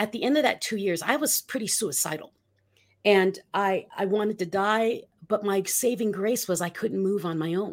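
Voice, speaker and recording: Recorded very cleanly against a silent background, a woman with an American accent talks at a moderate pace in a normal speaking voice, medium in pitch with ordinary pitch variation. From Philippines (US military bases). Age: 50s. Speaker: motivational speaker and author. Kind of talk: interview.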